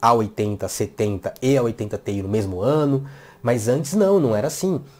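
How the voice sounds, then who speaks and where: Very clean recording, silent background, and a man with a dark, mellow tone. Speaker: tech youtuber. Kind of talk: tech commentary video. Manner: fast; animated.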